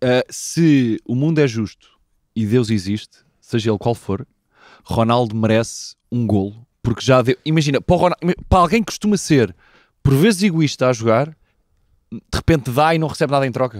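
A man with a European Portuguese accent, lively intonation and a moderate pace, long pauses coming often, against a quiet background in a dry sound with no echo. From Portugal. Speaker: football podcast host. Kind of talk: casual chat. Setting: abroad in Cologne. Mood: joking, lively. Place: garden. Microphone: handheld.

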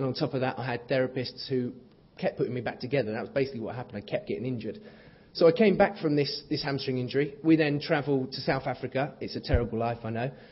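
With ordinary pitch variation, a man's somewhat breathy voice rushes along at a very fast pace. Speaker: guest. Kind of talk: keynote speech with anecdotes. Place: hall. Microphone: podium.

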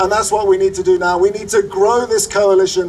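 A man with a high pitch speaks at a moderate pace with fairly even intonation over light background noise. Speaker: conservation organization operations chief and speaker. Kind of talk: rally speech to a crowd. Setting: outdoor rally with crowd. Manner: occasionally halting with fillers and repeats. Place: street.

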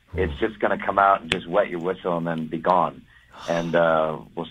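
A man's very deep, low pitch, monotone and flat, at a moderate pace. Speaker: caller. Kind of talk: casual phone chat with radio hosts. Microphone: phone line.

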